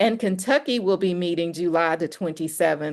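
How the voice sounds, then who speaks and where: Speaking at a fairly slow pace, this is an unremarkable speaking voice with ordinary pitch variation. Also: woman, quiet background. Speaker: organizer hosting a network call. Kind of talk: announcements on a community call.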